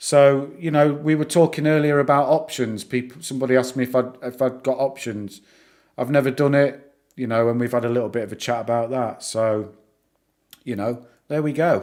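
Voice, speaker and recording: Speaking at a fairly quick pace with a northern English accent, a man keeps a medium pitch and fairly even intonation in a very clean recording with a silent background. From northern England. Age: 40s. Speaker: YouTuber discussing stocks. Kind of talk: live stream chat. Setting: live stream. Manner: halting, many repeats and fillers.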